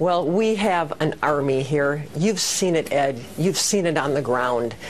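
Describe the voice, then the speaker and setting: A woman's very deep, low voice in an American accent, fairly slow and very even in loudness, with lively intonation, audible room echo and noticeable background noise. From Wisconsin. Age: 60s. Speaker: political candidate. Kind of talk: TV news interview.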